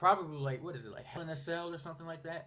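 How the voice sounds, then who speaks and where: A man's voice comes out somewhat breathy. He talks very fast. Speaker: wrestling YouTuber. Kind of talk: casual vlog monologue. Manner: stuttering; hesitant, many fillers.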